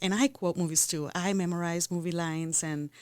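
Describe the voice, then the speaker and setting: A woman with a non-native accent speaks at a fairly quick clip in a fairly low voice, her intonation fairly even. The recording is very clean, with a silent background. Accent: foreign. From Costa Rica. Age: 30s. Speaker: podcast co-host. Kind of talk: casual chat.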